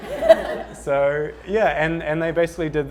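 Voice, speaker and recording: A man with a New Zealand accent at a moderate pace. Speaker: ad agency panelist. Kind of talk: panel discussion. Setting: studio with live audience. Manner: halting, many repetitions.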